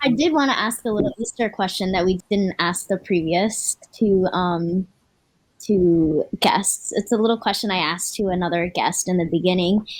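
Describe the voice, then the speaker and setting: A woman with an unremarkable speaking voice and an American accent talks at a medium pitch and moderate pace. Her pitch variation is ordinary, and her loudness stays very even. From Florida, US. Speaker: co-host of a cultural TV program. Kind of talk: casual panel chat.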